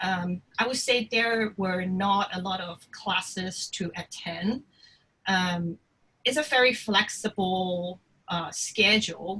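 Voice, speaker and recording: A woman's bright, sharp voice at medium pitch, very slow, with ordinary pitch variation. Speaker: art school alumna sharing study abroad experience. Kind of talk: career talk. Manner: halting, many fillers.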